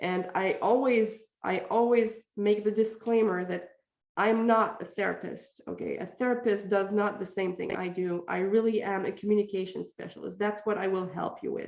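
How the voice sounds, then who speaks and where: A woman with a Quebec French accent speaks at medium pitch with fairly even intonation. She barely pauses at all. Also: moderate pace. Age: 40s. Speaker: parenting communication coach. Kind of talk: podcast interview.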